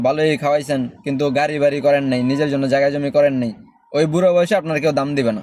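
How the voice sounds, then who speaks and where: Here a man speaks in a plain, everyday voice, fairly high in pitch and with fairly even intonation. The recording is very clean, with a silent background. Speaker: expat vlogger. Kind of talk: casual advice monologue.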